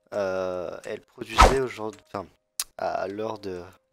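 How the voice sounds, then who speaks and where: A man speaks at a fairly slow pace. There is music behind him. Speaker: gaming youtuber. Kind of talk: gameplay tutorial commentary. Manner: hesitant, many fillers.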